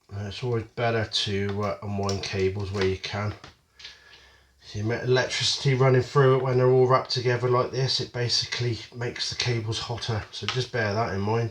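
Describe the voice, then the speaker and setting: With a British accent, a man of medium pitch speaks at a fairly quick pace with fairly even intonation amid noticeable background noise. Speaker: metal detecting hobbyist youtuber. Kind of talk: product unboxing review. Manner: casual with many fillers.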